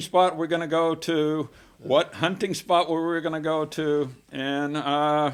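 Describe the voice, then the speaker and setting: Here a man speaks with an American accent at a fairly high pitch. He has a plain, everyday voice. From US South, Texas (Baytown, near Houston). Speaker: community volunteer, former fisheries worker. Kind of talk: casual interview conversation.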